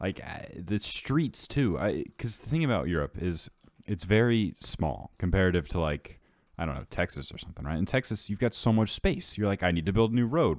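Lively intonation and vocal fry mark this moderate-paced speech in an American accent. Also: man. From United States. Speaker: gaming youtuber. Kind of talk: casual gameplay commentary. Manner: rambling, halting with fillers.

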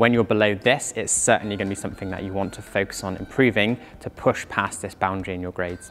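A man's fairly low voice at a fairly quick pace, faint music in the background. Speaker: climbing coach. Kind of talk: tutorial. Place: gym. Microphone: lapel.

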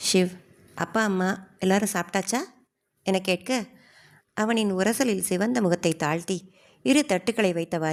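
Ordinary pitch variation marks an unforced reading voice. Behind it, the background stays quiet.

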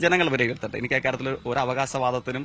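Clear background noise behind a male voice, fairly high in pitch, its intonation fairly level. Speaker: election candidate, politician. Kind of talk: news interview. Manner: formal.

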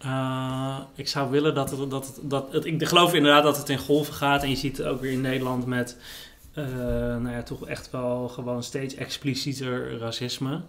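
A man speaks at a moderate pace. His intonation stays monotone and flat. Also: medium pitch for a man. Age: 30s. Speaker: writer and journalist; interview guest, journalist. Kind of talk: casual chat.

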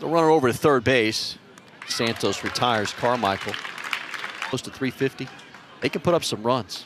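Crowd noise runs in the background while the speaker leaves long, frequent pauses. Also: man, medium pitch for a man, ordinary pitch variation, moderate pace. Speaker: sports commentator. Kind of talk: live baseball play-by-play commentary.

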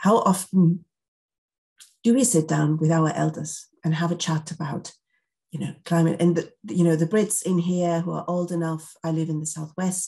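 A woman speaks at a moderate pace with a fairly low pitch and fairly even intonation against a quiet background. Her tone is dark and mellow, and somewhat breathy. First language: not English. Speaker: climate scientist; panelist. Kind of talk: panel discussion. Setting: video call. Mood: thoughtful, earnest. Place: home room. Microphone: webcam.

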